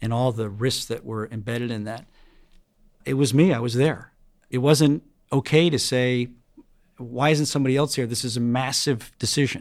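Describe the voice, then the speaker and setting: A man with an American accent and a medium pitch speaks at a moderate pace with long, frequent pauses, on a very clean recording with a silent background. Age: 50s. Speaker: financial firm chief executive. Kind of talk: interview.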